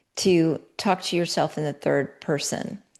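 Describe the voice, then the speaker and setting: A woman speaks with vocal fry. The background is quiet. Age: 70s. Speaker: podcast host and founder. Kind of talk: interview conversation. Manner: animated.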